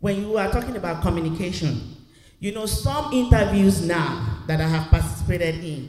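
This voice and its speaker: Over noticeable background noise, a high-pitched man speaks at a moderate pace with lively intonation and big swings in loudness. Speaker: audience member, job seeker. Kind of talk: audience question. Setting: church.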